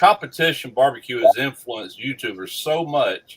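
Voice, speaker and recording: A man at a moderate pace with a Mississippi accent. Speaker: barbecue YouTuber. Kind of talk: casual chat.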